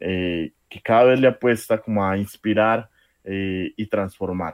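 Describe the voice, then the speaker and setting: An unremarkable speaking voice with fairly even intonation. The pace is fairly slow. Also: man. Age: 20s. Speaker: social worker and youth leader. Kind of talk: radio interview.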